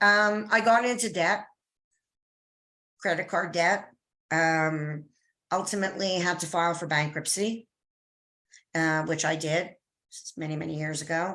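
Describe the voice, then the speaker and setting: A woman in a Canadian accent, fairly low in pitch and bright, sharp in tone, fairly slow with long, frequent pauses and ordinary pitch variation, in a very clean recording with a silent background. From Canada. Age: 60s. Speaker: business consultant. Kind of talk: interview.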